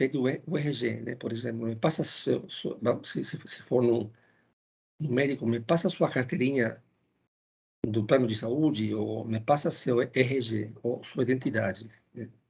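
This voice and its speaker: Somewhat breathy, a man with a Spanish accent speaks at a moderate pace. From Ecuador. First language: Spanish (speaking Portuguese). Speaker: philosophy lecturer. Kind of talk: lecture. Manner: halting, with many fillers and repetitions.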